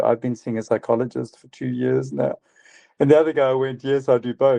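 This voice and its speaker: A man's dark, mellow voice at a fairly quick pace, recorded dry and close with no echo. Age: 60s. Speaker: psychiatrist. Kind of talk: podcast interview.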